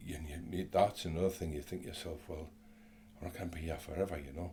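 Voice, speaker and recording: A man with a very deep, low pitch, a dark, mellow tone, a somewhat breathy quality, monotone, flat intonation and a very fast pace. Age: 60s. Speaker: interview guest sharing mental health story. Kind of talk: casual interview. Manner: hesitant, many fillers.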